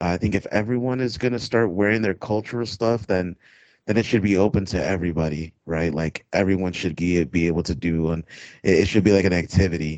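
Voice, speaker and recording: Moving at a fairly quick pace, a man speaks with very deep, low pitch and ordinary pitch variation. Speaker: podcast co-host. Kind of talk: casual chat. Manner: sounds exhausted.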